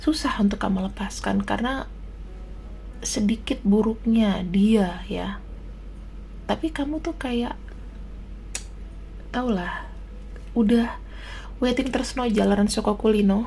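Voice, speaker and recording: A soft-spoken woman at a very slow pace with long, frequent pauses, noticeable background noise, and audible room echo. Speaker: tarot reader. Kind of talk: tarot reading. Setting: at home, baby sleeping nearby.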